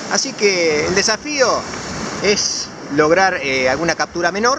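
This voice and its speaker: Here a man speaks at a fairly slow pace. Noticeable background noise is present. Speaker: fishing vlogger. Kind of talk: casual vlog chat. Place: beach. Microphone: phone near.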